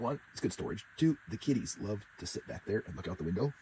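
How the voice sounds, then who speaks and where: A somewhat breathy man with lively intonation at a fairly quick pace. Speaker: RV living vlogger. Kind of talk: casual vlog.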